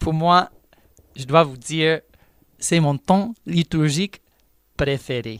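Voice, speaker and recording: A man's fairly high voice at a very slow pace, in a dry, close sound with no echo. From United States. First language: English (speaking French). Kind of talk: radio religious teaching.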